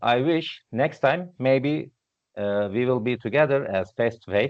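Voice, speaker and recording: A Turkish accent, ordinary pitch movement, and a fairly slow delivery. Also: man. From Turkey. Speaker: database instructor. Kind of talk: technical presentation. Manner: halting.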